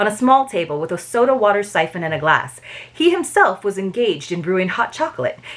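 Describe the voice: What we hear is plain reading aloud.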